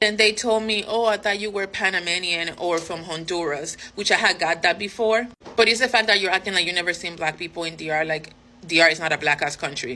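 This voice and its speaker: A woman talks at a fairly quick pace with ordinary pitch variation against noticeable background noise. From Dominican-American. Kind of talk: casual monologue.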